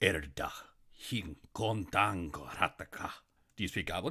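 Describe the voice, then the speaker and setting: Putting on a character voice, a man rumbles at a very deep, low pitch and a moderate pace. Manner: gruff, clipped.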